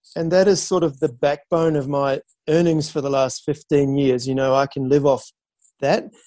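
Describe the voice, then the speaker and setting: A dark, mellow tone in a New Zealand accent, with fairly even intonation and a moderate pace. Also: man, fairly high pitch for a man. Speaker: professional photographer and sailor. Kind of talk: interview. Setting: remote call.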